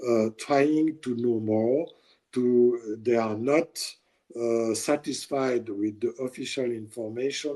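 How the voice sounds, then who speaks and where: A man's medium-pitched voice with a French accent, a dark, mellow tone and a fairly slow pace. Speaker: journalist. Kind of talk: interview. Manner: halting.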